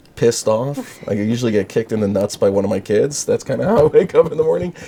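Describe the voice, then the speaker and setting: Talking very fast in an animated tone, a man can be heard through noticeable background noise. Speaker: prosecutor and rabbi. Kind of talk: casual interview chat. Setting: studio.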